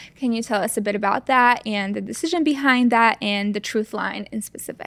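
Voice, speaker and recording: A woman speaks at a fairly high pitch and a fairly quick pace. Her pitch varies in an ordinary way. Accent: Polish. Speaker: podcast host. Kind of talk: casual interview.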